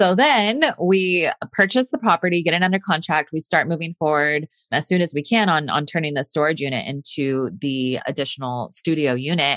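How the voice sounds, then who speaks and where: A woman with a very deep, low pitch talks at a moderate pace in a Californian accent, her intonation lively. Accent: Californian American. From Northern California. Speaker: nurse and real estate investor. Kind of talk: interview.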